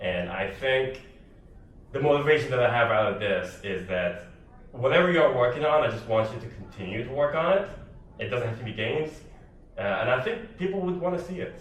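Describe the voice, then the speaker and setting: At a fairly quick pace broken by long, frequent pauses, a man with a medium pitch and very wide pitch swings talks amid noticeable background noise and audible room echo. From Sudan. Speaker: solo game developer. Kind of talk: conference talk. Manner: casual, filler-heavy.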